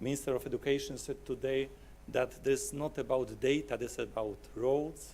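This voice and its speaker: A man with a Polish accent, speaking at a fairly slow pace. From Poland. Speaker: software company client service manager. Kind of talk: conference presentation. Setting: conference hall with audience.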